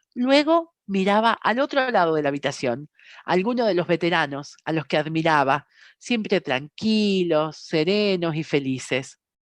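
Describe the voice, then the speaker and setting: Her voice is fairly low for a woman, with very wide pitch swings and a fairly slow pace. The sound is dry and close with no echo, over a quiet background. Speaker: meeting translator and reader. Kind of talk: reading aloud; meeting discussion.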